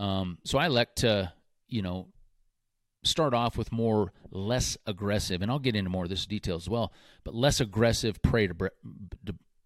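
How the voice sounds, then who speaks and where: Speaking at a fairly slow pace with long, frequent pauses, a man uses a fairly low pitch with ordinary variation on a very clean recording with a silent background. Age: 40s. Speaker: podcast host and predator hunter. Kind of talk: casual solo podcast talk. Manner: frequent fillers like um and uh.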